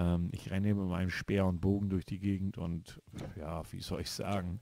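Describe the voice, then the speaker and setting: A man speaks in a very deep, low pitch. His tone is dark and mellow. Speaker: gaming YouTuber. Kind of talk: let's play commentary. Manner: halting.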